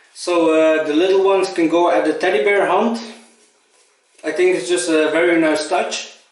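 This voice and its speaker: In a room with audible echo, a man speaks at a high pitch with very even loudness. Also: fairly even intonation, moderate pace. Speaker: shaving vlogger and first responder. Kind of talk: casual vlog tutorial. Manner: halting, with many fillers.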